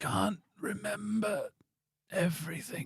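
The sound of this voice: Putting on a character voice, a man speaks with a high, raspy pitch. His pace is fairly slow.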